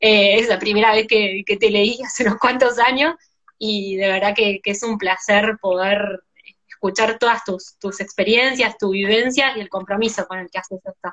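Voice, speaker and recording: At a moderate pace, a woman with an Argentine accent speaks in a medium pitch with fairly even intonation and big swings in loudness. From Argentina, provinces outside Buenos Aires. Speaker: doctor and live-stream host. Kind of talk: casual interview chat. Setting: Instagram live video.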